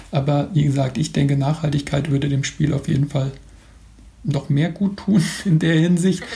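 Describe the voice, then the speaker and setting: Speaking at a moderate pace with long, frequent pauses, a man has a fairly high pitch, a dark, mellow tone, a somewhat breathy quality, fairly even intonation and very even loudness. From Mainz, Germany. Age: 40s. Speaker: football blogger and author. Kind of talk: interview. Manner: hesitant with frequent fillers.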